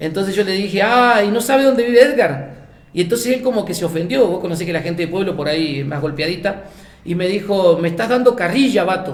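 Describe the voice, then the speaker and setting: Speaking at a very fast pace with an Argentine accent, a man with a high pitch uses lively intonation and an animated tone over noticeable background noise and audible room echo. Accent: Argentine accent, noticed by Mexicans. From Argentina, Buenos Aires province (small coastal town). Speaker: missionary. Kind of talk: casual interview, anecdotes. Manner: animated storytelling.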